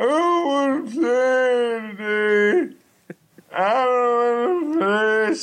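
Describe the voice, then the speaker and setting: The voice is a put-on character voice at a fairly high pitch. It goes at a very slow pace. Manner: weak, frail.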